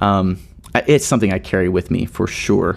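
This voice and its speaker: A man with an American accent and a very deep, low pitch, at a fairly quick pace, with noticeable background noise. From US South, Nashville, Tennessee. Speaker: worship leader and songwriter. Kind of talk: interview conversation. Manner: halting.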